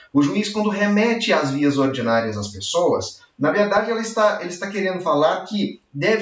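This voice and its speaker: With audible room echo, a man talks at a moderate pace, his pitch swinging very widely. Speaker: law professor. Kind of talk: lecture. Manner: animated.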